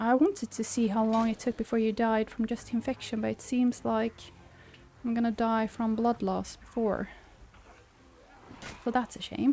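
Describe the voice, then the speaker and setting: With a Swedish accent, a woman speaks at a moderate pace and fairly high pitch, in a somewhat breathy, dark, mellow tone. Her intonation is monotone and flat, with long, frequent pauses. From Sweden. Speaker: game streamer. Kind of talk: casual chat. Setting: live stream at home.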